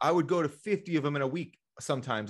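A man speaks in a plain, everyday voice with ordinary pitch variation. The background is quiet. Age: 30s. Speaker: Amazon reseller. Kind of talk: podcast interview.

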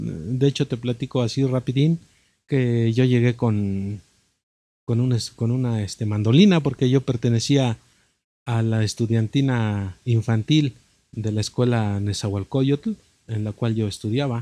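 The voice has a dark, mellow tone and ordinary pitch variation, moving at a fairly slow pace. The sound is dry and close, with no echo. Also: man. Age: 50s. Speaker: musician. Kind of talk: interview.

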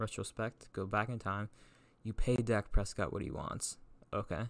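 A man speaks at a fairly low pitch in a monotone, flat intonation. The recording is very clean with a silent background. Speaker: sports podcast host. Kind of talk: casual chat. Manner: halting.

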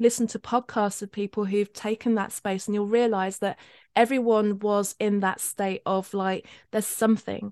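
The woman speaks at medium pitch and a moderate pace in a flat monotone. The sound is dry and close with no echo, and the background is quiet. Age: 50s. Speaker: spiritual life coach. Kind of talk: casual interview chat. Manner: hesitant, many fillers and laughs.

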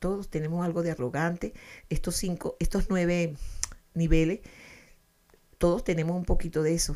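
The tone is dark, mellow and warm, with fairly even intonation. Delivery is at a moderate pace with long, frequent pauses. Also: woman, fairly low pitch for a woman. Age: 70s. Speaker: family counselor, radio host. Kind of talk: radio talk on self-help psychology. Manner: halting, many fillers and repetitions; warm, affectionate.

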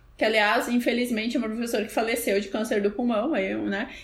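A woman talks at a fairly quick pace with noticeable background noise behind her. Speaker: podcast co-host. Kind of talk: casual chat.

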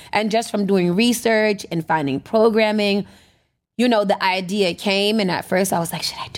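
With a plain, everyday voice, a woman speaks at a moderate pace and medium pitch, her intonation fairly even but her loudness swinging widely, in a very clean recording with a silent background. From US, born in America. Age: 30s. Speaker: radio station owner and DJ. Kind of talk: casual interview chat.

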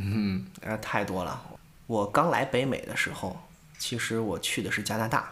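Audible room echo surrounds a man with a medium pitch. He speaks at a fairly slow pace. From northern China, Tangshan, Hebei. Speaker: podcast co-host, amateur stand-up comedian. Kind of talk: casual chat.

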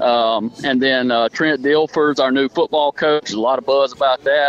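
A man speaks with a Deep South accent. Noticeable background noise runs behind him. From southern Alabama. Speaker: college softball coach. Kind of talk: casual radio interview.

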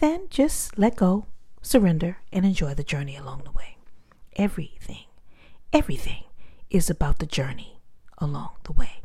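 Calm and somewhat breathy, a woman speaks with a dark, mellow tone. Her pace is moderate and her intonation lively. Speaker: motivational speaker. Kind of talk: personal story talk.

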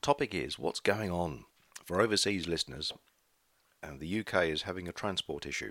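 With an English accent, a man speaks in a very deep, low voice with a bright, sharp tone, vocal fry, lively intonation and long, frequent pauses, on a very clean recording with a silent background. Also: fairly quick pace. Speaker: podcaster, charity shop volunteer. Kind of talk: casual solo chat. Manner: hesitant, filler-heavy.

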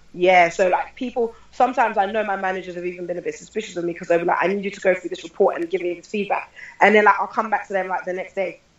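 Talking at a very fast pace with hardly any pauses, a woman with a medium-pitched voice and fairly even intonation swings widely in loudness over noticeable background noise. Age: 30s. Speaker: lecturer and film producer. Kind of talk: casual interview.

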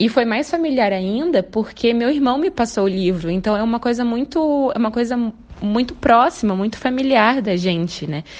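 A woman with a plain, everyday voice speaks at a moderate pace, fairly high in pitch, with lively intonation. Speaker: fan contributor. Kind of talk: recorded testimony.

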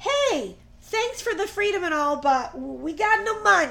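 A woman's put-on character voice at an extremely high pitch, with lively intonation and a moderate pace

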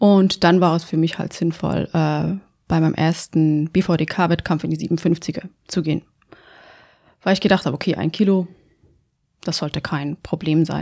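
The voice moves at a fairly slow pace with long, frequent pauses, fairly even intonation and a dark, mellow tone. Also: woman, fairly low pitch for a woman. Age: 30s. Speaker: amateur powerlifter. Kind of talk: casual chat.

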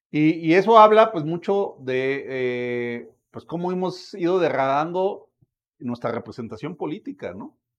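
A man with a Mexican accent speaks high in pitch at a fairly slow pace, his pitch swinging very widely and his loudness rising and falling in big swings. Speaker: political commentator. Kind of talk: casual chat.

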